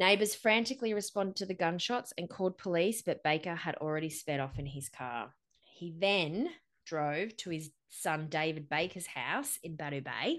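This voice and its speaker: A woman with an Australian accent and a fairly low pitch talks at a moderate pace with lively intonation. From Central Coast, NSW, Australia. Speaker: podcast host. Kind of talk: true-crime narration of a massacre, mixed with casual banter. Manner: measured, serious storyteller, grim and matter-of-fact.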